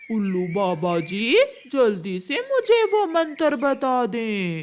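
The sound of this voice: This cartoonish character voice sits at a fairly high pitch. It moves along at a very slow pace.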